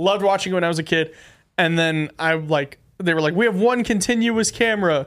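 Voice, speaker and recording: A man's high voice at a fairly quick pace, with ordinary pitch variation and very even loudness. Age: 20s. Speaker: podcast host. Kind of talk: casual chat. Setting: studio.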